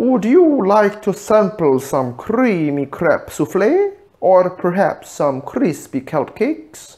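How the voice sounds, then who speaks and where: A man puts on a character voice at a high pitch. He talks at a fairly slow pace with hardly any pauses. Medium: read story. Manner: polished, formal service manner.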